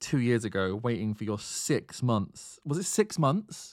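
A man speaks in a plain, everyday voice at a medium pitch and a fairly slow pace. The recording is very clean, with a silent background. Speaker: podcast host. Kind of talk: casual chat about a video game.

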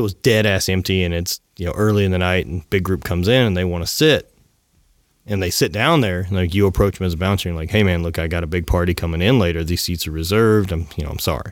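A man with a very deep, low voice and an American accent, talking at a very fast pace on a very clean recording with a silent background. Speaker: podcast host and apparel entrepreneur. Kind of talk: casual interview.

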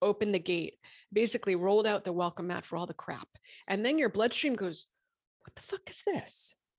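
Recorded very cleanly against a silent background, with a dry, close sound and no echo, this is an ordinary speaking voice with an American accent and ordinary pitch variation. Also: woman. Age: 50s. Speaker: physician and author. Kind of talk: interview.

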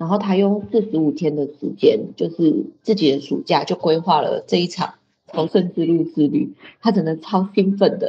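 A woman's medium-pitched, somewhat breathy voice with a dark, mellow tone, lively intonation and a moderate pace. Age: young. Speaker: pilgrim hiker sharing travel story. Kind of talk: casual interview chat. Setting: lodging common room.

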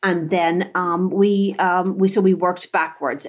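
The speaker is a woman. She talks with a Dublin accent. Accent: Irish (Dublin). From Dublin, Ireland. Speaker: chocolate business owner. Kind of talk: casual interview.

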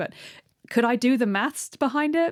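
A woman's voice with ordinary pitch variation, dry and close with no echo, in a very clean recording against a silent background. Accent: British. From Britain. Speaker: marine biologist and science writer. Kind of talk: interview. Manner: halting.

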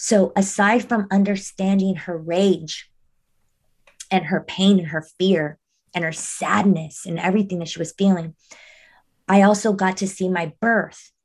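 Somewhat breathy and at a medium pitch, a woman talks at a fairly slow pace with fairly even intonation and long, frequent pauses. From Mexico (Monterrey). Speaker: mindfulness coach. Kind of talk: casual chat.

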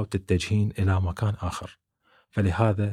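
Fairly low in pitch and somewhat breathy, a man is heard dry and close with no echo, on a very clean recording with a silent background. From Iraq, Baghdad. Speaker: YouTuber, immigrant. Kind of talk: interview testimony.

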